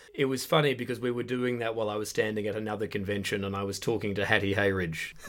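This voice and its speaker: Speaking at a very fast pace, a man with an Australian accent uses a fairly low pitch. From Western Australia, Perth suburbs. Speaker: comedian. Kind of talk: casual chat. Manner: animated.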